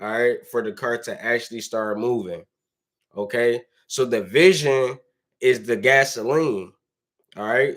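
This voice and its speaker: An animated man with an American accent speaks at a medium pitch and a fairly slow pace, with ordinary pitch variation and long, frequent pauses. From Detroit, US Midwest. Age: 20s. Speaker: motivational vlogger. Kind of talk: motivational monologue. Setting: son's bedroom while son sleeps.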